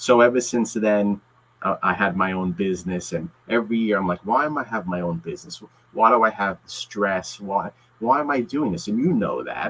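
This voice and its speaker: Here is a man in an ordinary speaking voice at medium pitch. He keeps a moderate pace with lively intonation. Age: 40s. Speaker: lawyer and comic book collector YouTuber. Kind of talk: casual interview chat.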